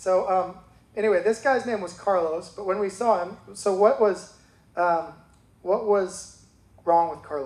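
Long pauses appear frequently. Overall, the delivery is fairly slow. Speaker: church member sharing testimony. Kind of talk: testimony. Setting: church.

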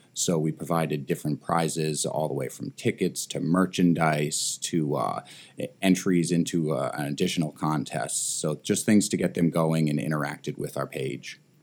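A man with a very deep, low voice speaks at a moderate pace with fairly even intonation, and there is noticeable background noise. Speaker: escape room business owner, podcast guest. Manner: smooth, polished delivery.

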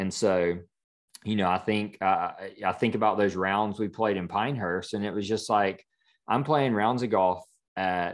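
A man with a Southern US accent talks at a moderate pace. His pitch is fairly low and his intonation fairly even. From US South, South Carolina. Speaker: design studio founder. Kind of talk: interview.

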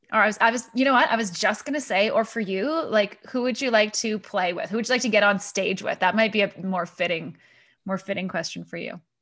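A woman with a normal speaking voice talks at a fairly quick pace and a fairly high pitch, with ordinary pitch variation. The recording is very clean, with a silent background. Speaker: podcast host. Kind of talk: interview.

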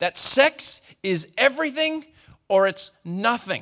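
A man's bright, sharp-toned voice with lively intonation, heard in a dry, close sound with no echo. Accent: Australian. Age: 40s. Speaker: pastor. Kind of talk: sermon.

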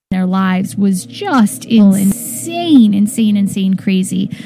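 Noticeable background noise surrounds a woman whose medium-pitched voice has a relaxed tone and lively intonation. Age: 30s. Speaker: wellness radio host. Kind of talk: casual spiritual talk radio. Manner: relaxed, with many fillers and laughs.

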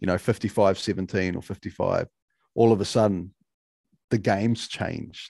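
A man's fairly low, dark, mellow voice with a New Zealand accent, monotone and flat, broken by long, frequent pauses, with a dry, close sound, no echo and a quiet background. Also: moderate pace. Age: 40s. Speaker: mental performance coach. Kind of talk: podcast interview.

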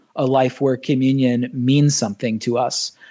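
With an American accent and a dark, mellow tone, a man speaks at a medium pitch with fairly even intonation over a quiet background. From US South (Nashville and Orlando). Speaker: pastor. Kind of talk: casual chat.

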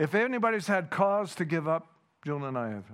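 A man's high-pitched voice with a Canadian accent at a moderate pace, in a very clean recording with a silent background. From Canada. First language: Dutch. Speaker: guest preacher. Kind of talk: sermon. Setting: church.

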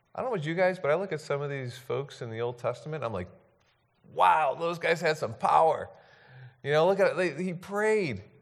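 A high-pitched male voice at a moderate pace, with audible room echo. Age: 40s. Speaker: pastor. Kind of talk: sermon. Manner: halting.

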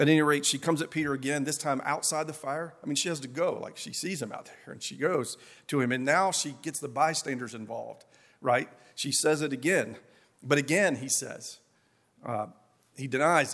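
A man with an Appalachian accent talks at a fairly quick pace and a fairly high pitch, with ordinary pitch variation. His loudness swings widely, and the recording is very clean with a silent background. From Appalachia, US. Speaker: pastor. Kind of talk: sermon.

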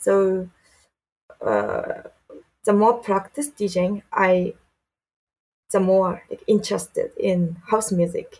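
With a Japanese accent, a woman speaks at a very slow pace, pausing long and often. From Japan (Saitama). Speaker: DJ and music producer. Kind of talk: interview. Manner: halting.

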